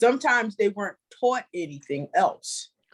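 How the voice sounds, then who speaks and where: A woman's normal speaking voice, fairly slow, with lively intonation and a dry, close sound lacking any echo. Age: 60s. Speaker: author and youth leader. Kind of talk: interview. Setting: indoors.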